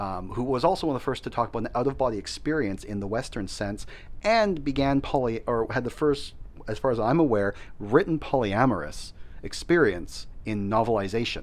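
In a normal speaking voice, a man with a Canadian accent talks fairly quickly at a medium pitch with lively intonation. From Canada. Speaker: teacher. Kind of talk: casual chat.

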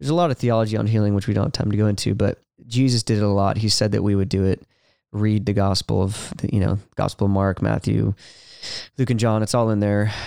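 A man with a Californian accent, a very fast pace, a fairly low pitch, a dark, mellow tone, very even loudness and fairly even intonation. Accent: Californian American. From California, Ventura. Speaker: worship leader and speaker. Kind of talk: casual interview. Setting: podcast studio.

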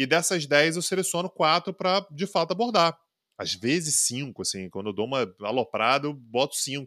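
A man speaks at a moderate pace in a fairly high voice with very wide pitch swings and a bright, sharp tone, recorded very cleanly against a silent background with a dry, close sound and no echo. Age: 30s. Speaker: international relations professor and political commentator. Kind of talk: casual interview chat.

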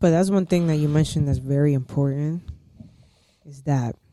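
A woman's very deep, low voice in a New York accent, at a moderate pace with ordinary pitch variation. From New York, Harlem. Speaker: podcast host. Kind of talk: casual chat.

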